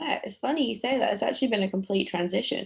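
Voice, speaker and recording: A woman with a British accent and lively intonation. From United Kingdom. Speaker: nonprofit auction operations manager. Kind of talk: interview answer.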